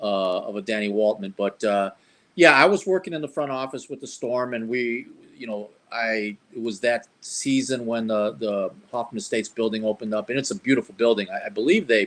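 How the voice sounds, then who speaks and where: Here is a man with a plain, everyday voice, pitched at a medium level. He moves at a fairly quick pace with ordinary pitch variation. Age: 60s. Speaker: former front office staff and athlete. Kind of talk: interview.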